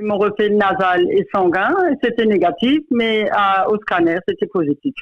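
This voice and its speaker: A woman with an ordinary speaking voice, fairly high in pitch, at a fairly slow pace with lively intonation. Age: 60s. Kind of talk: interview answer.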